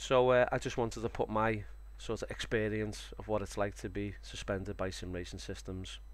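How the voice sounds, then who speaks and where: A man speaks at a moderate pace with a Liverpool accent. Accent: Scouse (Liverpool). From Liverpool, England. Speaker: sim racing streamer. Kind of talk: live stream commentary. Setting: live stream. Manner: casual, hesitant with fillers.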